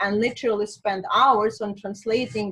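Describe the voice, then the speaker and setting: A woman with a Russian accent talks at a moderate pace and a fairly high pitch. Music plays in the background. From Azerbaijan. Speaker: spiritual healer and coach. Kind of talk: interview.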